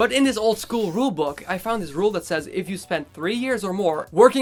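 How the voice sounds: The natural reading voice carries a lively intonation.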